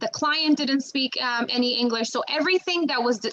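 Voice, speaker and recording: With noticeable background noise behind her, a woman speaks in a high pitch with a Macedonian accent and ordinary pitch variation. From North Macedonia. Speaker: bilingual criminal investigator. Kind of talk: career talk to students. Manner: halting, many fillers and restarts.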